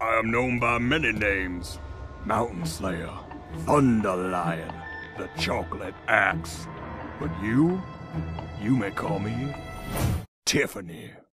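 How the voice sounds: Faint music plays behind a man talking at a fairly slow pace in a fairly low pitch.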